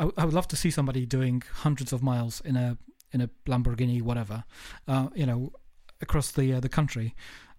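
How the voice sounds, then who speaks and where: A very fast man's voice with a southern English accent, medium pitch, a dark, mellow tone, ordinary pitch variation and very even loudness. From England, Kent. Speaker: podcast host. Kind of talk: casual interview chat. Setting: remote call across the globe.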